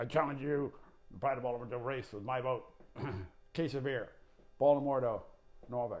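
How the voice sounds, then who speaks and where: A man puts on a gravelly character voice at medium pitch, moving at a fairly quick pace with fairly even intonation, big swings in loudness, and long, frequent pauses. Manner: bold, challenging.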